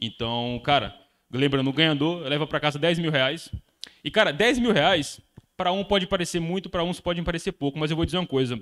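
The speaker sounds animated, with ordinary pitch variation and a fairly quick pace against a quiet background. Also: man, fairly high pitch for a man. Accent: Brazilian. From Brazil. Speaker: day trader and trading course instructor. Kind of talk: casual group chat on livestream. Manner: slangy, casual and animated. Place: home room. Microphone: handheld.

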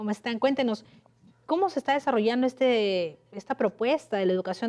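moderate pace with ordinary pitch variation. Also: woman. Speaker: interviewer, radio/TV host. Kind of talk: interview. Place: studio. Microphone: lapel.

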